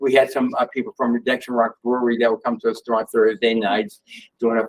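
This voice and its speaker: A man's medium-pitched voice with a Boston accent, ordinary pitch variation, and a dry, close sound free of echo. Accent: New England (Boston area). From Massachusetts (Worcester). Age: 60s. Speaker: sneaker store owner. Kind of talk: talk to audience. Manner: animated; halting.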